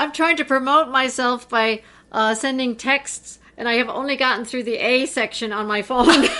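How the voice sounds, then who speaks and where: A woman with an American accent uses a raised, projected voice with a high pitch. Her pace is moderate and her intonation fairly even. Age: 70s. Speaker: rock climber and author. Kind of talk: interview. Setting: in her home.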